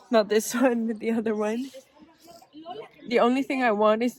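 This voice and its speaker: High-pitched woman at a moderate pace with ordinary pitch variation, amid noticeable background noise. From Netherlands. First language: Dutch. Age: 20s. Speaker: travel vlogger. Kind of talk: vlog monologue. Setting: outdoors on a bench.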